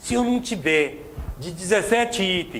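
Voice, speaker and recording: The speaker talks at a moderate pace. The intonation is lively. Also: man. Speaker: motivational speaker. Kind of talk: seminar talk. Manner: animated.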